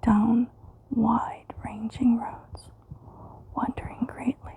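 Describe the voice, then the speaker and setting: Over noticeable background noise, a woman whispers her words at a very slow pace. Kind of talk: asmr poetry reading for sleep. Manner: whispered, soft-spoken.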